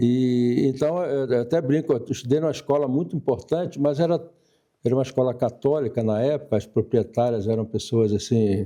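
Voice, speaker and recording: At a fairly quick pace, the voice carries a dark, mellow tone and ordinary pitch variation. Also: man, medium pitch for a man, very even loudness. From Brazil, Niterói (Rio de Janeiro state). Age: 70s. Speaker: retired telecom executive and social organization leader. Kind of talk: interview.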